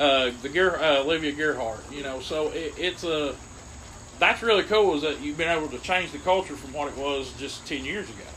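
With an Appalachian accent, a man speaks fairly quickly at a fairly high pitch, with audible room echo and noticeable background noise. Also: ordinary pitch variation, big swings in loudness. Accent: Appalachian Kentucky. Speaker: sports podcast co-host. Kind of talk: casual chat.

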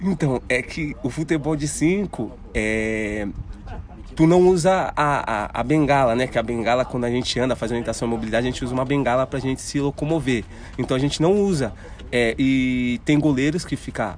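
A man speaks at a moderate pace in a normal speaking voice. His pitch sits in the medium range, with ordinary pitch variation. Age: 30s. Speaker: blind paralympic runner. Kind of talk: casual interview. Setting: outdoors at an athletics track.

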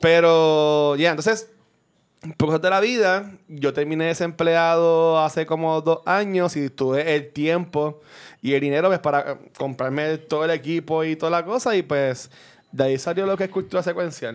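This man has an unremarkable speaking voice with a fairly high pitch and ordinary pitch variation. He talks at a moderate pace against a quiet background. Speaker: podcaster. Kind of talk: casual chat.

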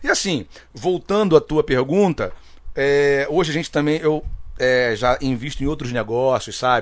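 Very clean recording with a silent background: a man's fairly high-pitched, unremarkable speaking voice, ordinary pitch variation, fairly slow pace. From Rio de Janeiro (Rocinha favela). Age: 40s. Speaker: samba singer. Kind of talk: casual interview chat.

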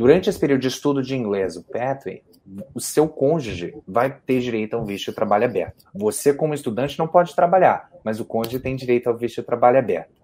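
A man speaks very fast at a medium pitch, his intonation lively. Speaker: immigration consultant. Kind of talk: live Q&A stream.

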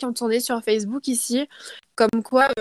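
The woman's pitch is fairly high and her intonation fairly even. She talks at a fairly slow pace on a very clean recording with a silent background. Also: dry, close sound with no echo. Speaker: student living abroad. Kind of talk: casual interview.

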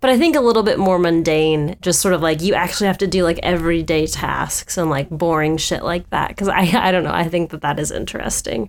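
Here is a woman with a plain, everyday voice and fairly low pitch. She talks at a fairly quick pace with ordinary pitch variation. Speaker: podcast co-host. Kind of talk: casual chat.

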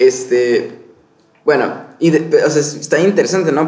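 A man speaks at a fairly slow pace, with audible echo in the room. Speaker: podcast co-host, film crew worker. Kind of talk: casual film discussion chat. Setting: hotel room.

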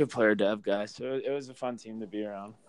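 A man with an unremarkable speaking voice talks at a moderate pace and medium pitch, with ordinary pitch variation over a quiet background. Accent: American. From Massachusetts, Boston area. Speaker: professional hockey player. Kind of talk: casual interview.

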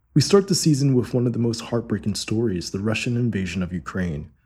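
This man's voice sits at a medium pitch with a dark, mellow tone, lively intonation and a somewhat breathy quality, recorded very cleanly against a silent background. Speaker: podcast host. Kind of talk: scripted narration.

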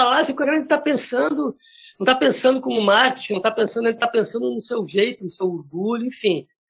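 A man at a very fast pace, with lively intonation. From Brazil, Porto Alegre. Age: 40s. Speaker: drummer. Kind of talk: casual chat.

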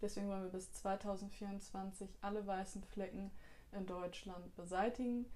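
A woman with a plain, everyday voice and medium pitch speaks at a fairly slow pace with fairly even intonation. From Bielefeld, Germany. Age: 20s. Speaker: parliamentary candidate. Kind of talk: interview answers on party platform. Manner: formal.

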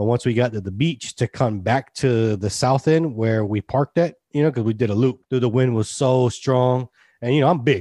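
With an American accent, a man of medium pitch speaks at a moderate pace with hardly any pauses, ordinary pitch variation, and a dark, mellow tone, in a dry, close sound with no echo against a quiet background. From Texas, Austin. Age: 30s. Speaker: podcast co-host. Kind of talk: casual chat. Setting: video call.

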